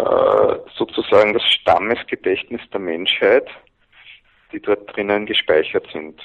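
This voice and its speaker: A man is speaking. His pace is very slow. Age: 40s. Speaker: men's coach and seminar leader. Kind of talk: interview.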